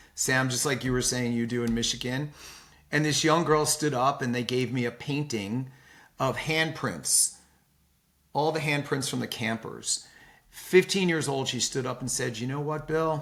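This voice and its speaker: This is a normal speaking voice with fairly even intonation. The pace is moderate. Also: man. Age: 60s. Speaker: philanthropist. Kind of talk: interview.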